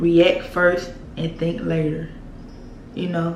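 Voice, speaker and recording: Speaking at a very slow pace, a woman with a fairly low pitch talks in a Southern US accent. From Mississippi. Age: 20s. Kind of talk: casual storytime talk to camera.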